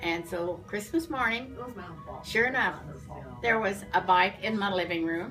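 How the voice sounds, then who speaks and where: Over music in the background, a woman with a medium pitch speaks at a fairly slow pace with lively intonation and long, frequent pauses. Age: 80s+. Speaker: former beautician. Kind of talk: interview answer.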